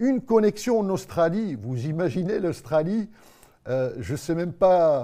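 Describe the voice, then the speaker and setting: There is a quiet background as a man speaks in a high pitch with a dark, mellow tone. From Morocco. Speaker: TV show host. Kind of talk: live web TV magazine hosting. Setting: TV studio set. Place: studio.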